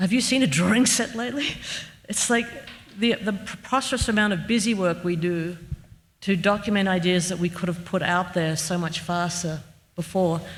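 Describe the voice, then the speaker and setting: A woman's medium-pitched voice in an Australian accent, at a moderate pace with ordinary pitch variation. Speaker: architect. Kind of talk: Q&A discussion.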